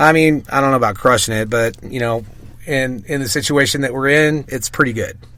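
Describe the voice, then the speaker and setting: At a fairly quick pace, a man talks with a slight Southern US accent. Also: medium pitch for a man, fairly even intonation. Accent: slight Southern twang. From US South, Mississippi. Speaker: DJ. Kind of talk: casual interview.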